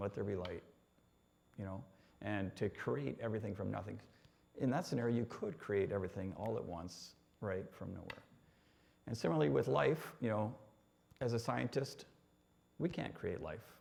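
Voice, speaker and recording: With a Canadian accent and vocal fry, a man uses lively intonation. He leaves long, frequent pauses. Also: fairly low pitch for a man, moderate pace. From Canada (Ontario, North Bay). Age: 60s. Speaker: engineer sharing faith testimony. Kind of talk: testimony. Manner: hesitant, many fillers.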